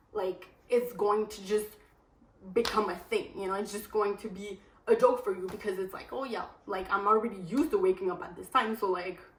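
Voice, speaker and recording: Amid noticeable background noise, a woman talks at a fairly quick pace with medium pitch, fairly even intonation and big swings in loudness. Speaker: lifestyle vlogger. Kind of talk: casual vlog talk to camera. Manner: fast.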